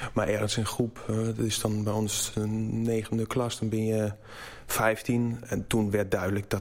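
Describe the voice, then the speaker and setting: Speaking in a German accent, a man keeps a fairly low pitch, monotone, flat intonation and very even loudness at a fairly slow pace. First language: German (speaking Dutch). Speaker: furniture maker. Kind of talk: interview. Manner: halting.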